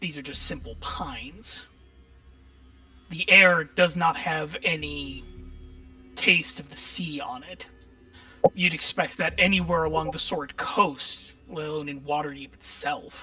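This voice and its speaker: A raspy, put-on character voice at middle pitch moves at a fairly slow pace with long, frequent pauses while faint music plays in the background. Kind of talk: horror narration. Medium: actual play. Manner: calm, descriptive.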